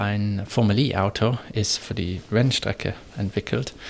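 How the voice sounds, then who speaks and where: A man speaks with an English accent at a very slow pace. His voice is fairly low-pitched, with fairly even intonation. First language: English (speaking German). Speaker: motorsport engineer. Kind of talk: interview. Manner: halting, with filler sounds.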